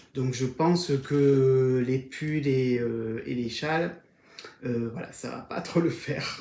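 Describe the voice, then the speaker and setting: A man's fairly high-pitched voice with a slight southern French accent, fairly even intonation, and audible room echo. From southern France, Var. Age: 40s. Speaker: knitting podcaster. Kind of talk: casual video podcast monologue. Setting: at home on camera. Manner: hesitant with frequent fillers.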